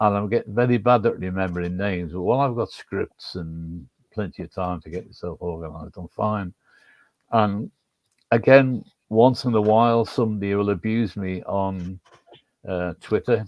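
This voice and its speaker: The man's voice sits fairly low and moves at a moderate pace. His loudness swings widely while his pitch varies in an ordinary way. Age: 70s. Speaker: stadium announcer. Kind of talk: casual chat.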